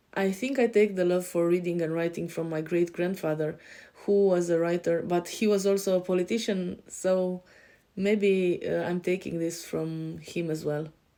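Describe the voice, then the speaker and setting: In a European accent, a woman speaks at a moderate pace and a fairly low pitch. Her tone is dark and mellow, with fairly even intonation. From Romania. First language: Romanian. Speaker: life coach. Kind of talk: podcast self-introduction. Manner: hesitant, many fillers.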